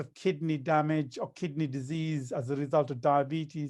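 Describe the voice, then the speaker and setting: On a very clean recording with a silent background, a fairly high-pitched man speaks at a moderate pace in a normal speaking voice. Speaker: kidney doctor. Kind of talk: health talk.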